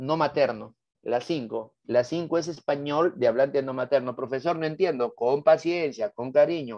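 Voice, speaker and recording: A man with a Lima accent at a fairly slow pace, against a quiet background. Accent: Lima Peruvian Spanish. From Peru, Lima. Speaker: teacher. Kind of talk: lecture. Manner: animated.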